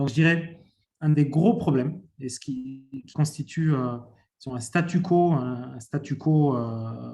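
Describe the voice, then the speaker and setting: A man talks very slowly at a fairly high pitch, his tone dark and mellow and somewhat breathy. His pitch varies ordinarily, while his loudness swings widely. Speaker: private sector panelist on dairy. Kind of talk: panel discussion answer. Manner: halting, many fillers.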